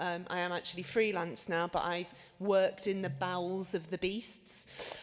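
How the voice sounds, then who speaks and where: A woman with a Liverpool accent speaks at a moderate pace, her medium pitch held in fairly even intonation. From northern England, Liverpool. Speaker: medical journalist. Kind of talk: conference talk.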